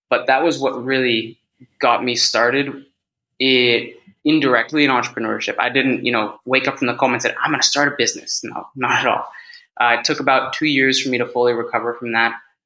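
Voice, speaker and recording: Bright and sharp in tone, a man with a Californian accent speaks at a fairly quick pace in a monotone, flat intonation. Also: medium pitch for a man. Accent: Californian American English. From US, California (San Francisco Bay Area). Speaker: head of sales and public speaker. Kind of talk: casual interview.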